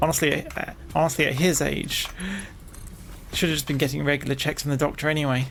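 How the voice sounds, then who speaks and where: The speaker talks at a very fast pace in a British accent yet takes long, frequent pauses. Noticeable background noise can be heard. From Britain. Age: 30s. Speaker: vtuber streamer. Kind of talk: casual chat. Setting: live stream.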